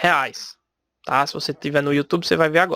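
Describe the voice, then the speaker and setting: Recorded very cleanly with a silent background and a dry, close, echo-free sound, a man speaks in a bright, sharp tone. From Brazil, Recife (Pernambuco). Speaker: podcast host, salesperson. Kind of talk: solo podcast talk. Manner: casual, conversational.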